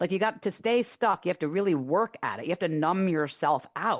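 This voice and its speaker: Against a quiet background, a woman speaks in an animated tone with lively intonation. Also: dry, close sound with no echo. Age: 50s. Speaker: author and dance teacher. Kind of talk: radio interview. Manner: fast.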